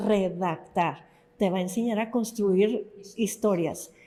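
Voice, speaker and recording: A woman speaks in an unremarkable speaking voice. Her intonation stays fairly even. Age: 60s. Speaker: novelist. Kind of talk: interview conversation.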